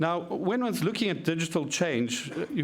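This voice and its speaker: Audible room echo is present in this clip. A man is the one talking. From South Africa. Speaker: media researcher. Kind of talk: conference presentation.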